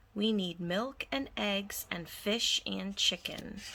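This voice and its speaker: A woman uses a put-on character voice at a medium pitch. She delivers it at a very slow pace. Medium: read story. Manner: warm, easygoing.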